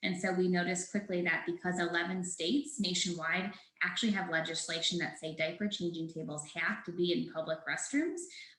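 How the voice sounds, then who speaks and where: At a fairly quick pace with hardly any pauses, a woman with a fairly low pitch speaks with ordinary pitch variation. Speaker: startup founder presenting product. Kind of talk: webinar presentation. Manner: fast.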